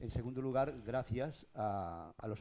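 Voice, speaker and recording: Ordinary in pitch variation, a man's voice carries a dark, mellow tone. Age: 60s. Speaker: local radio broadcaster. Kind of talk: panel discussion. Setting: stage with audience. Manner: animated.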